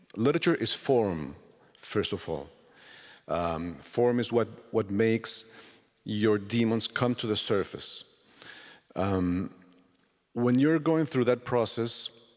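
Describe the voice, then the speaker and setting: A man with a Spanish accent at medium pitch, very slow pace with long, frequent pauses, lively intonation, and a very clean recording over a silent background. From Colombia. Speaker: novelist. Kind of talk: literary festival interview. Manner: halting.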